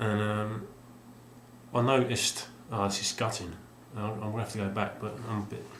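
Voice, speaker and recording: A man mumbles at a moderate pace in a fairly low, flat monotone, leaving long, frequent pauses. Noticeable background noise and audible room echo fill the recording. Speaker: video game collector vlogger. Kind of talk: casual vlog monologue. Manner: mumbling; halting, many fillers.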